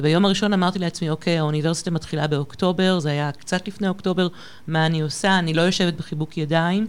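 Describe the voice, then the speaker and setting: Fairly even intonation in a French accent. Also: woman. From France (Paris), born in Israel. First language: French (speaking Hebrew). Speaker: public relations professional. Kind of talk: interview on a live broadcast. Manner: direct.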